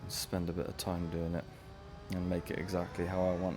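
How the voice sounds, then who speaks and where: A man with a very deep, low voice and a Welsh accent talks at a fairly quick pace, with audible room echo and music in the background. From West Wales. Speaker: gaming streamer. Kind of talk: live gameplay commentary. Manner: casual, chatty. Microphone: voice may be too quiet under game audio.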